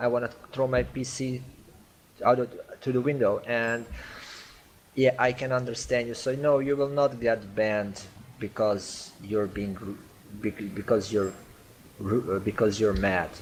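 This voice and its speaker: Talking with a non-native accent, a man keeps a medium pitch and fairly even intonation at a fairly slow pace, with long, frequent pauses. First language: not English. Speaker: game community manager. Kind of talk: online community Q&A meeting. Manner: halting.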